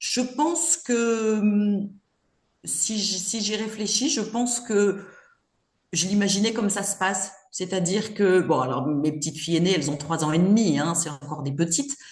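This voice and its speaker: Somewhat breathy, this woman speaks at a medium pitch with lively intonation. Her pace is fairly slow. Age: 60s. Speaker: grandmother, retired mother of five. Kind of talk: casual interview chat. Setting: podcast interview. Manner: hesitant, many fillers.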